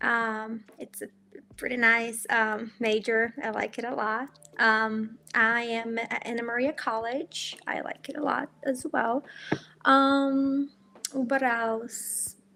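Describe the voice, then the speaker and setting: Delivered very slowly in a Portuguese accent, a woman's fairly high voice has a bright, sharp tone and fairly even intonation. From Brazil. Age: 20s. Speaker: college student, language school alumna. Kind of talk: podcast interview.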